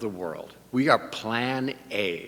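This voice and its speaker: With audible room echo, a man talks in a bright, sharp tone and lively intonation. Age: 60s. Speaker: bishop-elect and priest. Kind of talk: sermon. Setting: church service. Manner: conversational.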